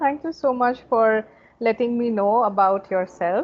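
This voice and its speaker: Her fairly high voice moves at a fairly slow pace as this woman speaks. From India, Kolkata. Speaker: communication coach. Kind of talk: casual interview conversation. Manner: fluent, warm.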